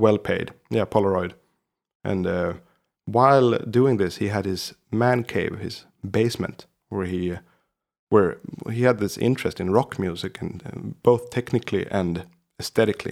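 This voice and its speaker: With a Swedish accent, a man speaks at a moderate pace in a fairly low pitch, with long, frequent pauses. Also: ordinary pitch variation. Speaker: podcast co-host, guitarist. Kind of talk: casual chat. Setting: remote call.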